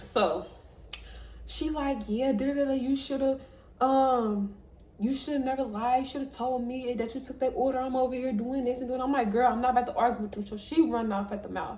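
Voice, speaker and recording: Audible room echo carries a woman's high-pitched voice. She speaks at a fairly quick pace with fairly even intonation. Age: 20s. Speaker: vlogger. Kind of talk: storytime monologue.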